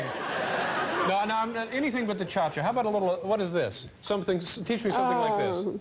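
A high-pitched man's voice at a fairly quick pace, with ordinary pitch variation, very even loudness, hardly any pauses and noticeable background noise. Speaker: late-night talk show host. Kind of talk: talk show banter with guest.

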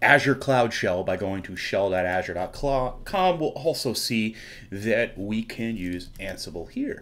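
Lively intonation runs through the speech. The speaker is a man. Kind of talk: tutorial.

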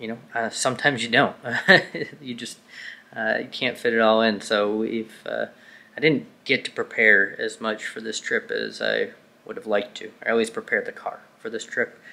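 His loudness rises and falls in big swings. The man talks at a moderate pace. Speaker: car vlogger. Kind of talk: casual vlog chat. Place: home room. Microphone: phone near.

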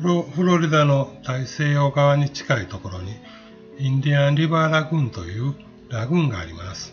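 Over music in the background, a man with a fairly high pitch talks with lively intonation and big swings in loudness. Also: moderate pace. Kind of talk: travel guide narration.

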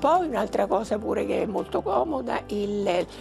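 Clear music plays behind a woman as she talks. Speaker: retired schoolteacher. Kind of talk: interview answer. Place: home room. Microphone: lapel.

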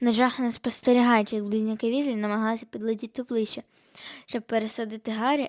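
The voice reads aloud in a plain way. Its intonation stays fairly even.

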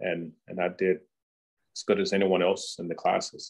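The background is quiet as a man talks with an American accent. His pace is moderate. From US South, southern Virginia (Danville); southern Virginia. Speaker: NASA program director. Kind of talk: talk / webinar. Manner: halting, many fillers and repeats. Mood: warm, reflective. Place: home room. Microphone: webcam.

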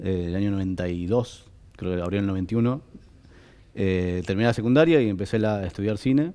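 At a moderate pace, a man speaks in a fairly low, dark, mellow voice with ordinary pitch variation. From Argentina. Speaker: film director; guest. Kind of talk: interview. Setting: studio. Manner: halting, many fillers and repetitions. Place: studio. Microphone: headset.

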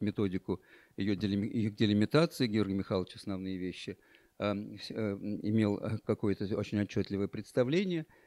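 A man's fairly low-pitched voice with a dark, mellow tone, ordinary pitch variation and a fairly slow pace, recorded dry with no echo over a quiet background. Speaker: speaker. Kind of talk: panel discussion; conference talk, recollection. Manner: halting. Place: hall. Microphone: handheld.

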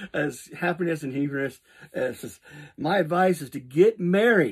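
The voice moves at a moderate pace over a quiet background. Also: man. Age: 50s. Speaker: fitness vlogger. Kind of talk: casual vlog monologue. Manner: halting, many fillers. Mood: cheerful, joking. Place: home room. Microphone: phone near.

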